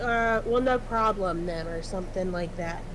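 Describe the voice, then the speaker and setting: Lively intonation from a woman at a moderate pace, with noticeable background noise and audible room echo. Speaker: streamer and workplace supervisor. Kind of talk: casual chat.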